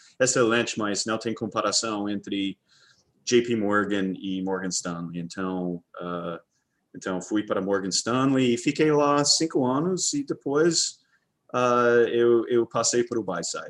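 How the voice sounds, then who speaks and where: At a very slow pace and against a quiet background, a man with an English accent speaks in a medium pitch with lively intonation. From Texas, Dallas. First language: English (speaking Portuguese). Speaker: fund manager. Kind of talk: casual interview. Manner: halting, many fillers.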